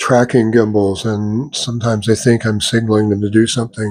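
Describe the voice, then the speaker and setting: Against a quiet background, a man with a medium pitch speaks at a fairly quick pace in a monotone, flat intonation. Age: 80s+. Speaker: amateur physics vlogger. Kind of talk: casual vlog talk. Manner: halting.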